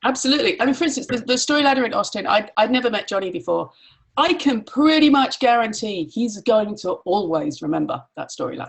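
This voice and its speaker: A woman's high voice with an English accent, lively intonation and a very fast pace. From grew up in Nigeria and Pakistan, Irish family. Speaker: mastermind facilitator. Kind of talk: casual chat.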